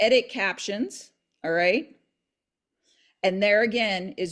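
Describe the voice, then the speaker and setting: The speaker uses a normal speaking voice at a fairly slow pace. Pitch variation is ordinary. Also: woman. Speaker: real estate agent and video tutor. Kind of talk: tutorial.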